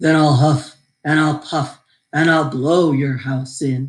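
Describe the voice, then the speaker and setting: In a growling put-on character voice, the speaker goes at a fairly slow pace with monotone, flat intonation. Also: woman, very deep, low pitch for a woman. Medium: read story. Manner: sly, smooth-talking.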